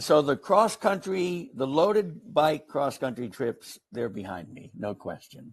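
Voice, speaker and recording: Vocal fry runs through fairly slow speech with hardly any pauses and very wide pitch swings. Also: man, fairly high pitch for a man. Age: 70s. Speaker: adventurer and polio survivor. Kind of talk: interview.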